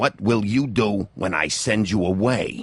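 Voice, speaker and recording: A growling put-on character voice at a fairly slow pace. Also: man. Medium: video game. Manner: curt, gruff, interrogating.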